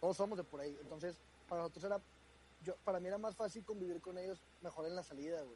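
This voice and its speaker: A man talks at a very fast pace in a dark, mellow tone, with a high pitch and ordinary pitch variation. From northern Mexico, Hermosillo (Sonora). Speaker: guest on a friend's podcast. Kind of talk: casual chat.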